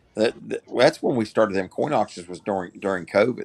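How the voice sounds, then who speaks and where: A man's fairly low-pitched voice in a dry, close sound with no echo. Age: 50s. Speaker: caller. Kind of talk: casual chat. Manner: halting.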